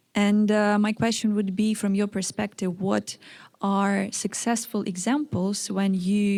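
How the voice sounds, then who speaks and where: Her tone dark and mellow, a woman speaks at a medium pitch, somewhat breathy, at a fairly slow pace with fairly even intonation. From Ukraine. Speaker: audience member asking a question. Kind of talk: audience question.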